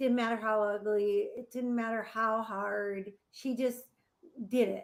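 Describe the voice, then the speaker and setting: A woman's fairly high voice, monotone and flat, at a fairly slow pace. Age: 60s. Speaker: nonprofit founder, family recovery advocate. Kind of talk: interview.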